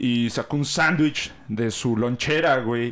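Speaking with a Mexican accent and ordinary pitch variation, a man is heard on a very clean recording with a silent background. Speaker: podcast host. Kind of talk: casual chat.

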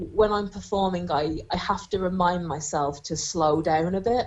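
Her tone slightly mellow, a woman speaks with fairly even intonation.

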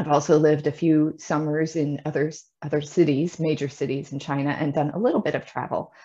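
At a moderate pace, the voice has a dark, mellow tone and a Midwestern American accent. The background is quiet. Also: woman. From US Midwest. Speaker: Chinese teacher. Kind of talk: interview, casual chat.

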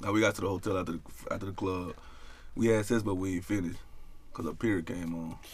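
Despite long, frequent pauses, a man speaks at a very fast pace in a very deep, low pitch, somewhat breathy. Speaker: podcast guest. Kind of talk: casual chat. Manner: animated, profane.

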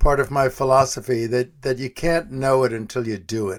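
In a very clean recording with a silent background, a man with an American accent talks at a moderate pace in a plain, everyday voice at medium pitch. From US Northeast, New York City (Manhattan). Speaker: psychologist and business coach. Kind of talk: casual chat.

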